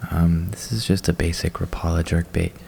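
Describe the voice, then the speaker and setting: Over noticeable background noise, a soft-spoken man with a very deep, low voice talks in a relaxed tone with fairly even intonation. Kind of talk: casual show-and-tell talk to camera about fishing tackle. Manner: soft-spoken, relaxed.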